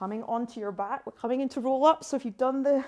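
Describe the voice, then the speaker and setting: A woman talks at a very fast pace. Her tone is dark and mellow, with ordinary pitch variation. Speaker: pilates instructor. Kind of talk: guided workout class. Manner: encouraging, instructional.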